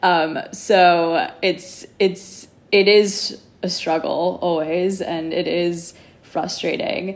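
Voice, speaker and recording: With a Californian accent, a woman speaks at a fairly low pitch with ordinary pitch variation amid noticeable background noise. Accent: Californian American. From Los Angeles, California. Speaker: yoga teacher. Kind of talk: casual chat.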